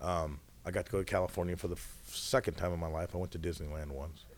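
In an American accent, this voice moves with ordinary pitch variation. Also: man. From Washington State, US Pacific Northwest. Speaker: mayor and high school football coach. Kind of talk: casual chat.

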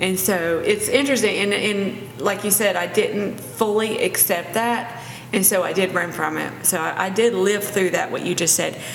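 A woman's medium-pitched voice at a moderate pace, ordinary pitch variation, noticeable background noise. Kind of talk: casual faith-based discussion.

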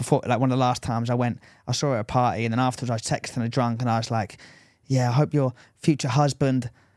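In a very clean recording with a silent background, a man with an English accent speaks very fast at a medium pitch, his intonation monotone and flat. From England. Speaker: podcast co-host. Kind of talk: casual chat.

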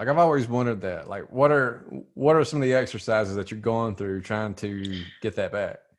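A man speaks with a fairly low pitch. His pace is moderate, with ordinary pitch variation.

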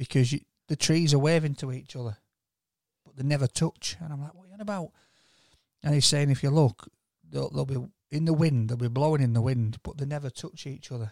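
A man with a somewhat breathy, fairly high voice speaks at a fairly quick pace with long, frequent pauses and big swings in loudness, recorded very cleanly against a silent background with a dry, close sound and no echo. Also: ordinary pitch variation. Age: 40s. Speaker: podcast co-host. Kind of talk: casual chat.

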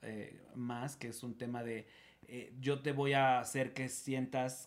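The pitch is medium. It belongs to a man who is speaking. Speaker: guest. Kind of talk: casual chat. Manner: loud.

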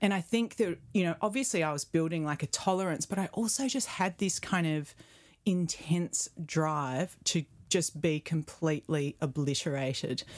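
At a moderate pace, a woman speaks in a fairly low pitch with lively intonation. The recording is very clean, the background silent. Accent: Australian. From Perth, Western Australia. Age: 40s. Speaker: photographer and retreat creator. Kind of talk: casual interview.

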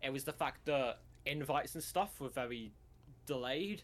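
A man's medium-pitched voice with a British accent and vocal fry. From Britain. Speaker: event organizer and video editor. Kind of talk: casual interview chat.

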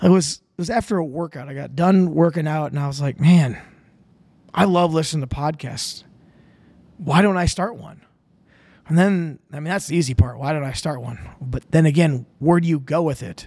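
With an Upper Midwest accent, a fairly high-pitched man talks at a moderate pace with ordinary pitch variation, big swings in loudness and long, frequent pauses. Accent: Upper Midwest (Minnesota). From Minnesota, Winona. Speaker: podcast host. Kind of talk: casual solo monologue. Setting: home studio, drinking beer on camera.

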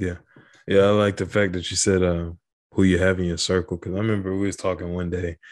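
A man's very deep, low voice at a very fast pace, monotone and flat in intonation, on a very clean recording with a silent background. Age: 20s. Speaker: podcast host. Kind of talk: casual interview. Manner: halting, many fillers.

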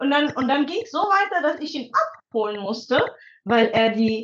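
Lively intonation marks a woman speaking at a moderate pace. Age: 30s. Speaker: psychologist and mother of two. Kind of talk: casual chat.

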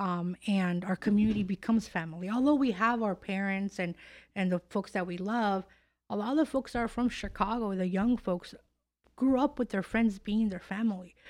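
A woman with an American accent talks at a moderate pace in an ordinary speaking voice with ordinary pitch variation. The recording is very clean, with a silent background. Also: medium pitch for a woman. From California. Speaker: podcast host. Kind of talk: casual interview. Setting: studio.

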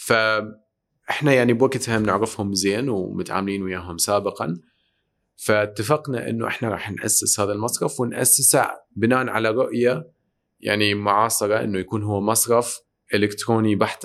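On a very clean recording with a silent background, a man with an Iraqi accent speaks at a fairly low pitch and moderate pace, with ordinary pitch variation. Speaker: tech entrepreneur and investor. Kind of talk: interview conversation.

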